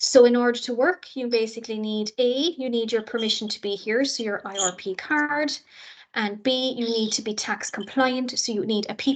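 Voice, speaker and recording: In a Cork accent, a woman talks at a moderate pace. Her voice is fairly high, with ordinary pitch variation. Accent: Cork Irish. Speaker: university international office staff. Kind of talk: orientation presentation.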